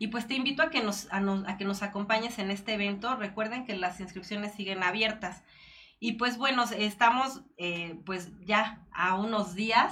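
Here a woman talks with a Mexican accent at a moderate pace. Her medium pitch shows ordinary pitch variation. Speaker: online show host. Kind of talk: interview; announcements.

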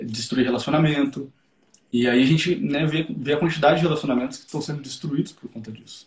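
A man with a fairly high pitch talks moderately fast, his voice somewhat breathy and his pitch varying in an ordinary way. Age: 20s. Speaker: psychotherapist. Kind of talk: casual chat.

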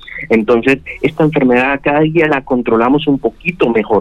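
Words come at a fairly quick pace. This is a normal speaking voice. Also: man. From Colombia, Santander (Bucaramanga). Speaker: gynecologist, fertility specialist. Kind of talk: radio interview.

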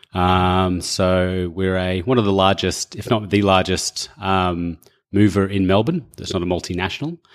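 On a very clean recording with a silent background, a man with a very deep, low pitch talks at a moderate pace in fairly even intonation. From England. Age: 30s. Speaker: business owner. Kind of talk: interview.

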